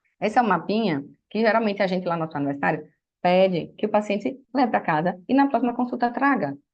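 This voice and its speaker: A woman's very fast speech at medium pitch, with very wide pitch swings. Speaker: physician. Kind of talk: lecture.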